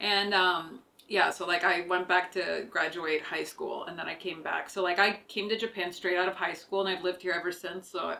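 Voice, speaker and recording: A woman with an unremarkable speaking voice talks at a medium pitch and a fairly quick pace. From Canada, small town near Toronto. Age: 30s. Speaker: podcast host. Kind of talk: casual chat. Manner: casual, filler-heavy.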